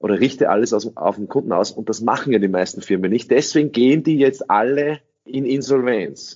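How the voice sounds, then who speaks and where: With ordinary pitch variation, a man speaks at medium pitch and a moderate pace. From Austria. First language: English (speaking German). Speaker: sales trainer. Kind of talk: interview.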